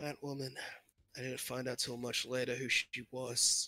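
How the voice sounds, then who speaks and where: A man uses a raspy put-on character voice at a medium pitch. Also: moderate pace. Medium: actual play. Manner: earnest, solemn.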